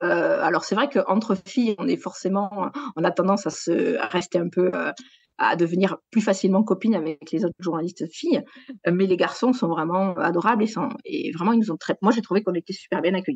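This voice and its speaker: Captured with a dry, close sound and no echo, a woman speaks at a medium pitch in a southwestern French accent, her intonation lively. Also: fairly quick pace. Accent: southwest French. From southwest France, Gers. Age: 40s. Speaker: sports journalist. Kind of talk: interview. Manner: hesitant, many fillers.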